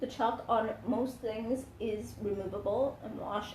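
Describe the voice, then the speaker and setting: A woman talks at a fairly high pitch, and room echo can be heard. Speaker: craft livestream host. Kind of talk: live craft tutorial. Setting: livestream. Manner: hesitant, many fillers.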